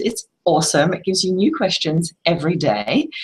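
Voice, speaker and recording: This woman's voice is somewhat breathy. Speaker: livestream host, personal growth facilitator. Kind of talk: casual livestream talk with clearing statements. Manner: hesitant, many fillers.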